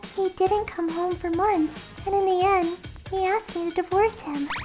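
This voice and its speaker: A woman uses a put-on character voice at an extremely high pitch. She speaks at a moderate pace with clear music in the background. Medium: fan dub. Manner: calm, polite, reserved.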